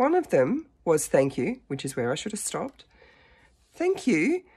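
Against a quiet background, a woman speaks at a moderate pace in a dark, mellow tone. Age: 50s. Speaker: dating vlogger. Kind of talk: casual talk to camera. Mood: animated, self-mocking storytelling. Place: home room. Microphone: phone near.

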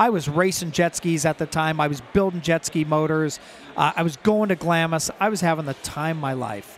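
The speech moves at a fairly quick pace with ordinary pitch variation, in a dry sound with no echo over light background noise. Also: man. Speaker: company founder; guest. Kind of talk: casual interview. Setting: trade show floor. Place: hall. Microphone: headset.

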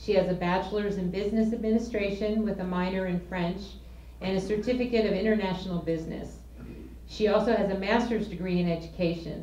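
Speaking very fast with fairly even intonation, a woman is heard with audible room echo. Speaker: volunteer board member. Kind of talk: speaker introduction. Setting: stage with audience. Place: meeting room. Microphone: handheld.

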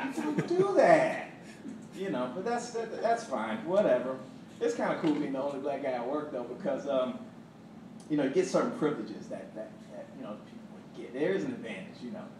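Amid noticeable background noise and audible room echo, a man with a high pitch talks at a fairly quick pace, with very wide pitch swings and long, frequent pauses. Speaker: stand-up comedian. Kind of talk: stand-up comedy set. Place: stage.

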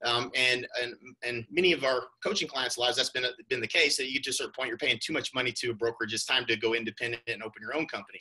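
A man with an American accent talks very fast in a bright, sharp tone. His pitch varies in an ordinary way against a quiet background. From Oklahoma. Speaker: real estate coach. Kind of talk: sales presentation. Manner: casual, with many fillers. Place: home room. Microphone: webcam.

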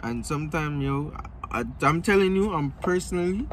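Light background noise behind a moderate-paced male speaker. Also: dry sound with no echo. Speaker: vlogger. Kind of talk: casual vlog chat. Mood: relaxed, laid-back. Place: car. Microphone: phone near.

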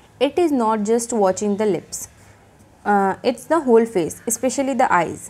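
Speaking at a fairly slow pace, a woman uses a fairly high voice with a dark, mellow tone and ordinary pitch variation. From India. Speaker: teacher. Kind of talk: lecture. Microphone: phone near.

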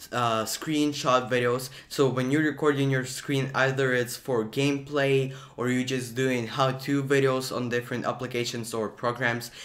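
A man is speaking. His pace is moderate. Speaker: video creator. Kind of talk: tutorial. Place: home room. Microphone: studio mic.

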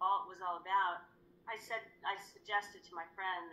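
Light background noise sits under a woman speaking at a moderate pace. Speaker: guest. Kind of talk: interview answer. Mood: reflective, earnest. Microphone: video call.

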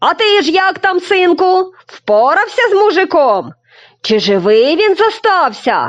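A put-on character voice from a woman, extremely high-pitched and at a fairly slow pace. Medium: read story.

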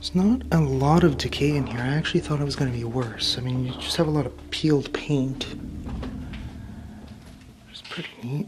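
Noticeable background noise lies under talking that runs at a fairly quick pace. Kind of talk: casual vlog chat. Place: hall. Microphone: phone near.

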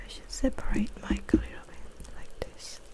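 Someone whispers at a fairly slow pace. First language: not English. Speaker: ASMR streamer. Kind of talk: ASMR gaming livestream talk. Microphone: studio mic.

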